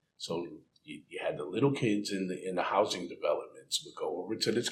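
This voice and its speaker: An American accent at a moderate pace. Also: man. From Connecticut, Waterbury. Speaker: reentry care coordinator. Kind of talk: interview.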